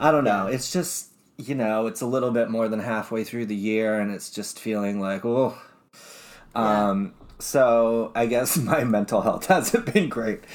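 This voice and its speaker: A man with an American accent speaks at a fairly slow pace and medium pitch, with ordinary pitch variation. It is a plain, everyday voice. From Utah. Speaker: podcast co-host. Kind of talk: casual chat.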